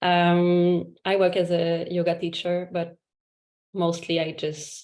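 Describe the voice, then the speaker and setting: A woman with a French Canadian accent speaks very slowly in a fairly low, monotone, flat voice, with long, frequent pauses. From Quebec. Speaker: yoga teacher. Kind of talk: casual introduction in a video call. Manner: halting, many fillers.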